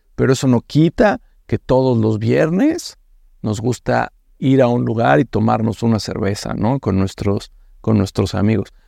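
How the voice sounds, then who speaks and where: A man speaks at a fairly slow pace. The sound is dry and close, without echo. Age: 30s. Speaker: fintech CEO. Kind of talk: interview. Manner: hesitant, with fillers.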